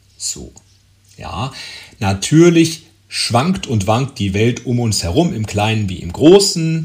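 A man speaks very slowly at a medium pitch, somewhat breathy in tone. His pitch swings very widely, with long, frequent pauses. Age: 40s. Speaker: podcast host. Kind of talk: solo monologue. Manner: hesitant with fillers.

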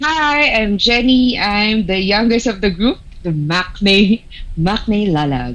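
Over noticeable background noise, a woman talks at a very slow pace at a medium pitch, with very wide pitch swings. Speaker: podcast co-host. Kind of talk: casual chat.

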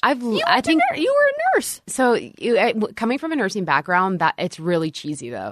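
With an American accent, a woman speaks in a fairly high voice at a moderate pace, with hardly any pauses and very wide pitch swings. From US South, northeast Texas near Shreveport. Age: 30s. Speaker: fashion blogger and business owner. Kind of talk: casual interview chat.

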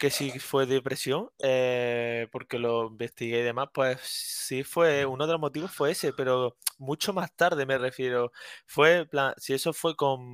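With a normal speaking voice, a man at medium pitch uses fairly even intonation in a dry, close sound with no echo. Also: fairly slow pace. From Andalusia, Córdoba. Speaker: student. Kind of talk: casual chat.

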